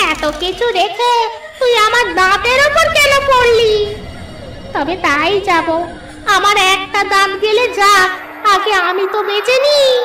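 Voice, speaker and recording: Over loud background noise, a female-sounding cartoonish character voice speaks at a fairly slow pace with an extremely high pitch. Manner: rude, uses disrespectful address.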